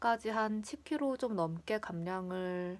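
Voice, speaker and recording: Speaking in a relaxed tone with a Gyeongsang accent, a woman at medium pitch is heard in a very clean recording with a silent background. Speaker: vlogger. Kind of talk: casual chat. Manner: relaxed, chatty.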